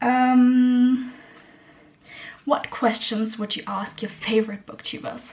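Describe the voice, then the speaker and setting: Amid noticeable background noise, a woman with a German accent speaks very slowly at a high pitch, in a monotone, flat intonation with long, frequent pauses. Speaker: booktuber. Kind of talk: casual chat. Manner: hesitant, many fillers.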